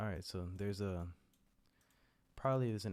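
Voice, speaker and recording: Soft-spoken and fairly low-pitched, a man talks at a very fast pace. The recording is very clean, with a silent background. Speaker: gaming commentator. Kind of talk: live commentary. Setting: at home late at night. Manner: soft-spoken, speaking quietly.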